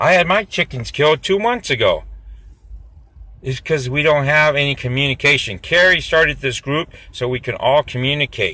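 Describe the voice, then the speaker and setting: A man speaks loudly at a moderate pace. His pitch is fairly high and his intonation lively. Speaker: local activist. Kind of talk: live stream chat. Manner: animated.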